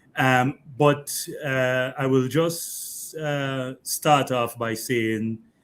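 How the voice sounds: Very slow speech from a man at medium pitch, clear, smooth and fairly bright in tone, with fairly even intonation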